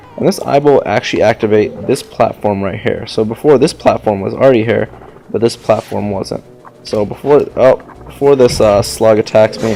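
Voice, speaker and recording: With music in the background, the man talks at a fairly quick pace. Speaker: gaming commentator. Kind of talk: let's play gameplay commentary. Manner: fast.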